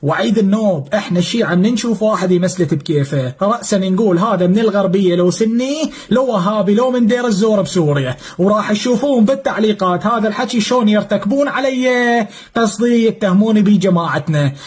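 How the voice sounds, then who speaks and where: With a southern Iraqi accent, a man speaks at a moderate pace in a high pitch, with ordinary pitch variation, very even loudness, hardly any pauses and noticeable background noise. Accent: Iraqi Arabic, southern Iraqi flavour. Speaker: former militia fighter. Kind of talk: testimony.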